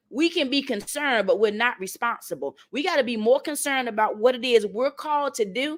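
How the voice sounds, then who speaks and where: In a Southern accent, a woman talks in an animated tone at a high pitch. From North Carolina. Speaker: motivational speaker. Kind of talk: motivational talk.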